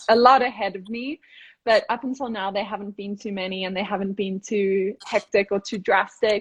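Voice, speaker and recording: Her voice somewhat breathy and medium in pitch, a woman speaks at a moderate pace with fairly even intonation and big swings in loudness. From South Africa, Cape Town. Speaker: professional distance runner. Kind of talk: casual chat.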